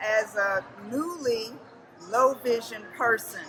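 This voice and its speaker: A woman with a high voice talks while music plays behind her. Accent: American. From New Jersey. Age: 60s. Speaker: amateur actor. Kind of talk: self-introduction.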